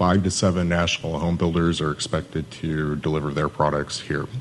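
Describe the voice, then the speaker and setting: Noticeable background noise surrounds a man speaking at a moderate pace in a very deep, low, monotone, flat voice. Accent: American. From Southern California, Hesperia (High Desert). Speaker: city economic development manager. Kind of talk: conference presentation.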